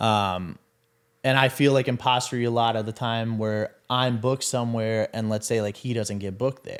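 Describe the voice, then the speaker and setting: A man speaks with a Milwaukee accent. The recording is very clean, with a silent background. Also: medium pitch for a man, fairly even intonation, moderate pace. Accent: Milwaukee Wisconsin. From Wisconsin, Milwaukee. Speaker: DJ and podcast executive producer. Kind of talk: casual interview chat.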